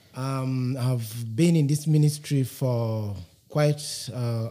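A man's fairly high, somewhat breathy voice, dark and mellow in tone, with ordinary pitch variation. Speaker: secondary school chemistry teacher. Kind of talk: interview answer.

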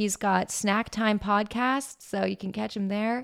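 The speaker has an American accent and talks at a fairly slow pace. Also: woman. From Pittsburgh area, Pennsylvania. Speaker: podcast host. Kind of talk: casual chat. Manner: animated.

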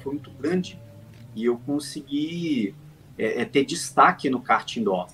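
Over music in the background, a man with a fairly high voice talks at a moderate pace, his pitch swinging very widely. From Brazil, Volta Redonda, interior of Rio de Janeiro state. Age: 30s. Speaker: sim racing driver. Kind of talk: interview. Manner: halting, frequent repetitions.

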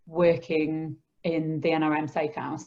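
A woman speaks with a Yorkshire accent. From northern England, Skipton (Yorkshire). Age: 30s. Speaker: charity founder and social worker. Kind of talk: interview. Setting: remote recording from home.

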